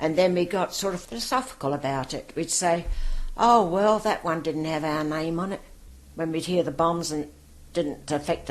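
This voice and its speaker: A woman's very deep, low voice with vocal fry, ordinary pitch variation and a moderate pace. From London, north-west (West Hampstead). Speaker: war veteran. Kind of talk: oral history interview.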